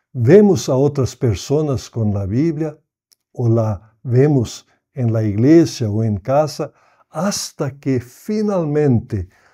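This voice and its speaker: A man with a non-native accent speaks very slowly at medium pitch. His tone is dark and mellow, his intonation lively. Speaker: pastor and Bible society director. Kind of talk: prepared message.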